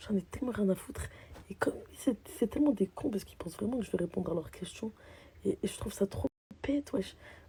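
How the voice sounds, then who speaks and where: Very fast delivery with lively intonation, big swings in loudness and long, frequent pauses. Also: woman, medium pitch for a woman. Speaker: social media personality. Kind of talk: casual vlog rant. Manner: animated.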